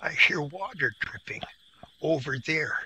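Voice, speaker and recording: In a raspy, high-pitched put-on character voice, a man speaks at a fairly slow pace. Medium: read story.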